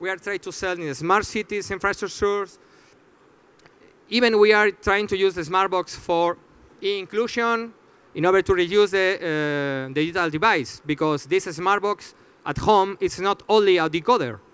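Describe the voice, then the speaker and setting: Moderate pace with a non-native accent and ordinary pitch variation. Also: man, high pitch for a man. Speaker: startup founder presenting. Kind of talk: audience Q&A; conference presentation. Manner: halting, many fillers.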